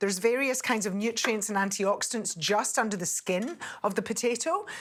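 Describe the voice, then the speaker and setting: A woman with a Scottish accent. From Scotland. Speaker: TV cook and nutritionist. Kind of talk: cooking tutorial.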